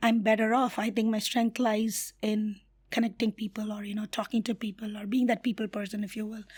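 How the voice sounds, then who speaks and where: Over a very clean recording with a silent background, a woman with a fairly high, somewhat breathy voice speaks at a fairly quick pace in a monotone, flat intonation. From India. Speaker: community builder and HR professional. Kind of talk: interview.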